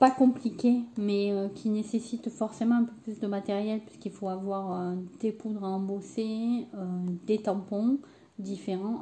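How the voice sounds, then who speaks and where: A woman's medium-pitched voice, fairly slow and fairly even in intonation, with big swings in loudness and noticeable background noise. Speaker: crafting youtuber. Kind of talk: tutorial. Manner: hesitant, many fillers.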